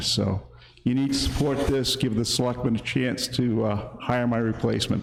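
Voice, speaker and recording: A man speaks at a moderate pace with a medium pitch and fairly even intonation. There is noticeable background noise and audible room echo. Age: 60s. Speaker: town road agent. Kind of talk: public meeting speech. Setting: town hall meeting.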